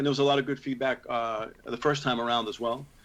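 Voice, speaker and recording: This man has an American accent. He talks at a very fast pace. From New York City. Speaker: heavy metal singer and comic book writer. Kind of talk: interview answer. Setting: remote video call.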